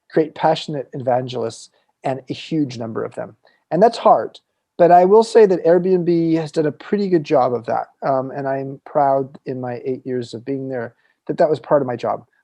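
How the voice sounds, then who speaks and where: Lively intonation and big swings in loudness mark this man's delivery. His voice sits fairly high, with a dark, mellow tone. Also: moderate pace. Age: 60s. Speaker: entrepreneur and author. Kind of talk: interview.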